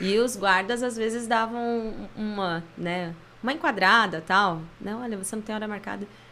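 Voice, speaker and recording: In a room with audible echo, a woman talks in a fairly high pitch with a bright, sharp tone and ordinary pitch variation. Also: moderate pace. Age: 30s. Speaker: church music minister. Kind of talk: casual chat.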